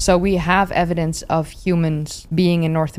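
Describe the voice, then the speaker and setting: Someone with a Dutch accent speaks over noticeable background noise. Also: woman. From Netherlands. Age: 30s. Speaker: history YouTuber. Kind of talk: interview conversation.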